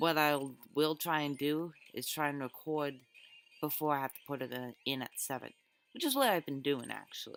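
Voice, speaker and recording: In a very deep, low pitch, a woman speaks at a moderate pace with an enthusiastic tone, big swings in loudness and long, frequent pauses. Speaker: gaming video creator. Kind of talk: let's play commentary. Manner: halting with many fillers and restarts; casual and enthusiastic.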